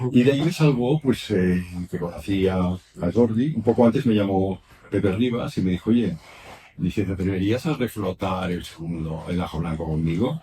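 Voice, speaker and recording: With lively intonation, a man speaks at a moderate pace in a fairly low pitch. His tone is dark and mellow and somewhat breathy. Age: 70s. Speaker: writer and traveler. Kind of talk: public talk at a bookshop. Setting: bookshop event with audience. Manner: halting, many repetitions.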